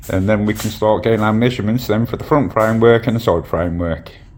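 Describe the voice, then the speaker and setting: A man talks at a fairly quick rate, his pitch shifting in an ordinary way, while noticeable background noise runs underneath. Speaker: DIY woodworker. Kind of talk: casual DIY vlog talk to camera.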